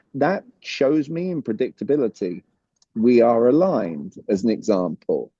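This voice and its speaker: Speaking at a moderate pace with a British accent, a man with a medium-pitched, dark, mellow voice makes very wide pitch swings, and the sound is dry and close with no echo. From Britain. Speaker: communication coach. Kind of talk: interview. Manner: animated.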